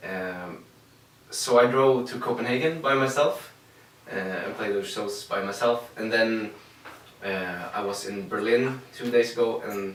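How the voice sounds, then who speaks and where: Amid noticeable background noise and audible room echo, a man with a medium pitch talks at a fairly slow pace with ordinary pitch variation. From Sweden, Linköping. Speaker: singer-songwriter. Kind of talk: interview. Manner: halting.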